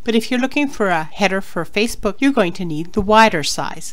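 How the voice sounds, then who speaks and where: Audible room echo surrounds a woman's medium-pitched voice and lively intonation. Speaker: online business blogger. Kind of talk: tutorial. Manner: fast.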